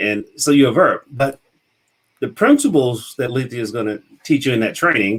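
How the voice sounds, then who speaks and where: A man with a Mississippi accent. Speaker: business consultant and show host. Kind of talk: casual interview chat.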